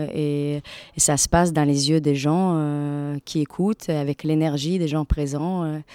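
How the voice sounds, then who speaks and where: Very deep and low for a woman, her dark, mellow voice stays monotone and flat on a very clean recording with a silent background. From Latvia. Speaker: stage actress. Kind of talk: radio interview. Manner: halting, many repetitions and fillers.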